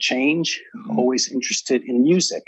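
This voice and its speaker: Speaking with an American accent, a man uses a plain, everyday voice at a fairly high pitch, with ordinary pitch variation and a fairly quick pace. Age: 60s. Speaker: author and ceremony leader. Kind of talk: interview.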